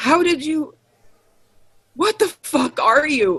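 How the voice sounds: A woman's put-on character voice, high-pitched and fairly bright, with lively intonation at a slow pace.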